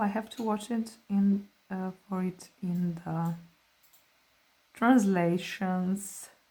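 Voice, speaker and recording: A woman talks in a relaxed, somewhat breathy way. Her tone is dark and mellow, and her pitch sits in the middle of a woman's range. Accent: non-native. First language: not English. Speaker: artist. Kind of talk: art tutorial, swatching demonstration. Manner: relaxed, hesitant with fillers.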